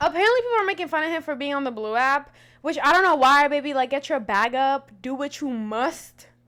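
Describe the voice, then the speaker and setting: Loud and animated, a woman talks at a fairly quick pace with hardly any pauses, her high-pitched voice bright and sharp in tone, with lively intonation. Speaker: podcast host. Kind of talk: casual commentary.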